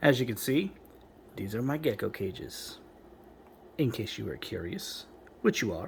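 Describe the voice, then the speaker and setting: At a moderate pace, a man talks in a somewhat breathy voice with fairly high pitch. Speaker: reptile and invertebrate keeper. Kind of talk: casual talk to camera. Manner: halting, with pauses and stutters.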